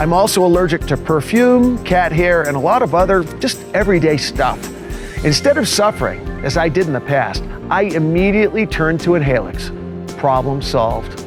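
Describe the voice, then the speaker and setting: A man with a high voice speaks at a moderate pace with lively intonation and very even loudness, music playing in the background. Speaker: infomercial host. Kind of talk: infomercial host talk to camera.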